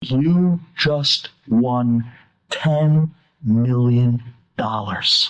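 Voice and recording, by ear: Using a put-on character voice, the speaker goes at a very slow pace in a low-to-middle pitch.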